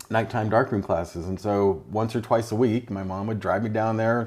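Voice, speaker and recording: This man has an American accent and a fairly low pitch, talking at a moderate pace with ordinary pitch variation. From Oakland, California, US. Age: 60s. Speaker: photographer. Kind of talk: casual interview. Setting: in his home kitchen.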